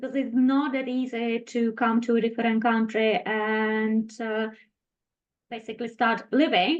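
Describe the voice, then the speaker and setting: A woman with a Czech accent talks fairly slowly in a fairly high voice with ordinary pitch variation. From Czech Republic. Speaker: health and wellness specialist. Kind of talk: interview.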